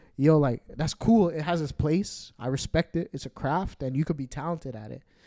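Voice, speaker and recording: With a Toronto accent, a man speaks at a moderate pace, with a fairly high pitch and ordinary pitch variation. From Toronto, Canada. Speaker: DJ. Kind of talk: casual chat. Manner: animated.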